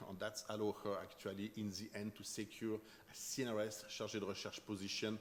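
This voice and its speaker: Speaking at a fairly quick pace, a man with a French accent has a fairly low pitch. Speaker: chemistry professor. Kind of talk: lecture. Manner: fast.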